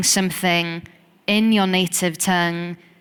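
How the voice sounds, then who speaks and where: A woman with a Welsh accent speaks at a fairly slow pace in a monotone, flat way, in a very clean recording with a silent background. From Wales. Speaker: poet and singer. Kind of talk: interview conversation.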